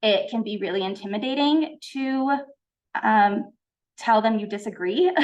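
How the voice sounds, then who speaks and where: Lively in intonation and fairly high in pitch, a woman speaks with long, frequent pauses. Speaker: college honor society officer. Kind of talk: presentation. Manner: fast.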